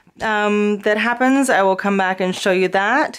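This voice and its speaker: Over noticeable background noise, a woman speaks at a moderate pace with a medium pitch. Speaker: craft tutorial creator. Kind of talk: tutorial.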